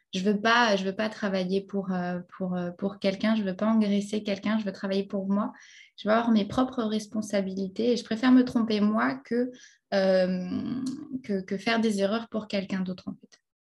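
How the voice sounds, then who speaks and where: A woman speaks at a moderate pace with a medium pitch, somewhat breathy and with fairly even intonation. Her loudness swings widely over a quiet background. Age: 20s. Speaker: English trainer and online entrepreneur. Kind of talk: interview. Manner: halting, many repetitions.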